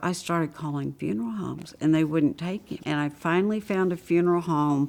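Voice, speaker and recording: A woman's very deep, low voice with a Southern US accent. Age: 60s. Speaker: AIDS caregiver. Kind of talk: interview testimony.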